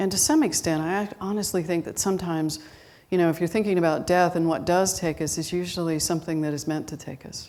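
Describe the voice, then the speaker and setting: At a very fast pace, a woman talks in a fairly low pitch with a dark, mellow tone. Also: ordinary pitch variation. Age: 60s. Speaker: guest minister. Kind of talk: sermon. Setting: church with live congregation. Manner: conversational.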